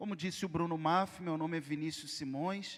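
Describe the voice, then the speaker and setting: A man speaks with a Carioca accent at a fairly high pitch. His intonation is fairly even and his pace moderate. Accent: Carioca (Rio de Janeiro). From Rio de Janeiro, Brazil. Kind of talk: sermon. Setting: congress hall, also livestreamed.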